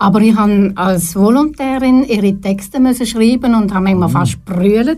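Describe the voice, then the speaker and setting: With an Appenzell accent, a woman speaks at a medium pitch in a dark, mellow, somewhat breathy tone, keeping a moderate pace, very even loudness and hardly any pauses. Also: ordinary pitch variation. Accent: Swiss German, Appenzell dialect. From eastern Switzerland, Appenzell (Herisau). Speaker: retired TV announcer and presenter, therapist. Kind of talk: studio interview. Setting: radio studio.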